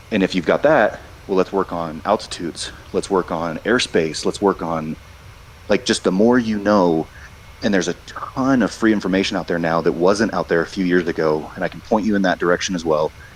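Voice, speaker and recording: Against noticeable background noise, a man with a very deep, low pitch speaks at a fairly quick pace with ordinary pitch variation. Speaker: airline pilot. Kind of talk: interview. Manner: fast.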